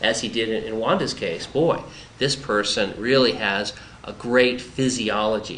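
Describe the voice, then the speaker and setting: Over noticeable background noise, the voice moves at a fairly slow pace with ordinary pitch variation. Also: man, medium pitch for a man. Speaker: bariatric surgeon. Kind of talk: doctor interviewing patient on camera.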